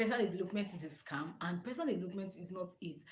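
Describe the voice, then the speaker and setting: A woman talks at a very fast pace. Audible echo from the room surrounds her voice. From Nigeria. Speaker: personal development channel host. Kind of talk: live stream talk.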